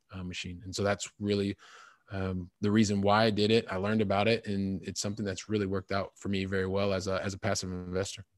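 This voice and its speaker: A man with a fairly low pitch rattles along at a very fast pace in a monotone, flat intonation. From US Midwest, Columbus, Ohio. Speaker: real estate investor. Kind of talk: interview. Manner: halting, with many fillers.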